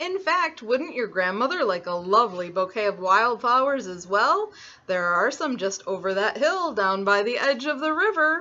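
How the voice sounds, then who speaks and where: A female-sounding, put-on character voice runs at fairly high pitch. It keeps a moderate pace with hardly any pauses. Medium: read story. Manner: silky, overly polite.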